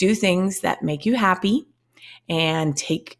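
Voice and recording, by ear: Reading aloud in a natural voice, with ordinary pitch variation, in a quiet background.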